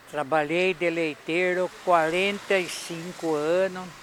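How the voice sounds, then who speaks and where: A man speaks with a high pitch and a monotone, flat intonation. His pace is very slow, with noticeable background noise. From Brazil, São Paulo state interior. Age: 80s+. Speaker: retired milkman. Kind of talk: interview testimony.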